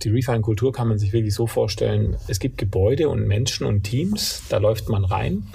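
With a slight Swabian accent, a man speaks at a moderate pace in a fairly low voice with ordinary pitch variation. Noticeable background noise and audible room echo are present. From Allgäu, southern Germany. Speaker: company co-founder. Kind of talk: interview. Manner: hesitant, many filler sounds.

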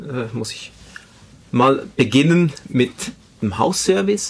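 Using lively intonation, a man with a fairly high pitch speaks at a fairly slow pace. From Switzerland, Spanish immigrant family. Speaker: IT project manager. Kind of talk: interview.

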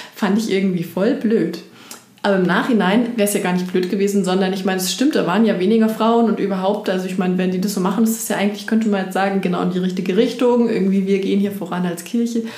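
Talking at a very fast pace, a woman with a medium pitch and fairly even intonation is heard over noticeable background noise and audible room echo. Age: middle-aged. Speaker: pastor. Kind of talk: casual chat.

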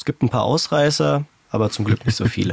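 Heard with a dry, close sound and no echo, a man uses a plain, everyday voice at medium pitch with lively intonation. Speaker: podcast producer and co-host. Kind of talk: casual chat.

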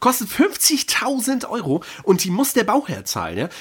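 A man with a high pitch and lively intonation talks at a fairly slow pace. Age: 20s. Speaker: podcast host. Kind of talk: casual chat. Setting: studio.

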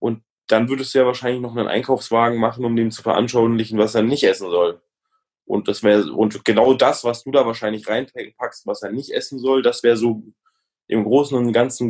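Fairly quick and fairly even in intonation, a man speaks at a medium pitch. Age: 20s. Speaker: comedian and entrepreneur. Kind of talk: casual interview. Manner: halting.

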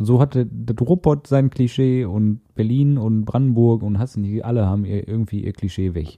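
In a Ruhr accent, the speaker uses a dark, mellow tone, ordinary pitch variation and a moderate pace, with a dry, close sound and no echo. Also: man. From Ruhr area, Castrop-Rauxel. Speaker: podcast co-host. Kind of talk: casual chat.

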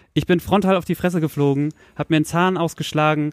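A man talks at a fairly quick pace with a high pitch and fairly even intonation. The sound is dry and close with no echo, with noticeable background noise. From Lower Saxony, Soltau area. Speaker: podcast host. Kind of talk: casual chat. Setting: bedroom home studio.

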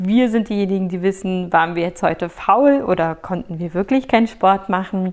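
In a very clean recording with a silent background, a woman speaks in a plain, everyday voice at medium pitch with ordinary pitch variation. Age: 30s. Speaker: podcast host. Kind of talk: solo podcast monologue.

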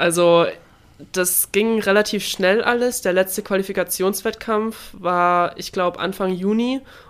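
A woman of medium pitch with an unremarkable speaking voice, at a fairly slow pace and with fairly even intonation. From Baden-Württemberg, southern Germany. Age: 20s. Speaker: Olympic swimmer. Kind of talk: interview.

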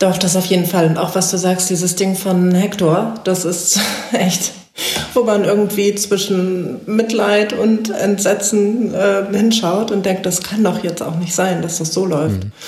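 With audible room echo and noticeable background noise, a woman of medium pitch talks at a fairly slow pace with fairly even intonation. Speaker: sports reporter. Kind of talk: casual football analysis chat.

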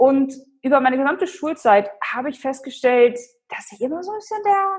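At a fairly quick pace, a woman's voice moves through very wide pitch swings. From Germany, Hannover. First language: Polish (speaking German). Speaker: personal branding expert and speaker. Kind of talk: interview.

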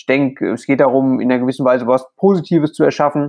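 Moving at a moderate pace, a man speaks with a medium pitch. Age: 20s. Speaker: plasterer and social media creator. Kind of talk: interview.

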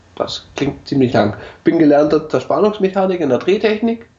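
A man's voice swings very widely in pitch. Background noise is noticeable. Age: 30s. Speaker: podcast host, CNC machinist. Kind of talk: casual chat.

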